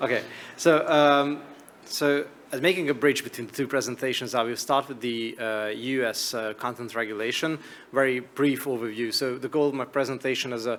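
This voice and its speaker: A man speaks with a Hungarian accent at a fairly quick pace. His intonation is fairly even. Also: medium pitch for a man. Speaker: media regulator. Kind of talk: conference presentation.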